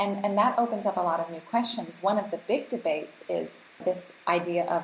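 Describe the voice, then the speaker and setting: The speaker has an American accent, a moderate pace, and ordinary pitch variation, with noticeable background noise. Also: woman. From US and Canada. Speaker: global health advocate and policy researcher. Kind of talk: casual chat.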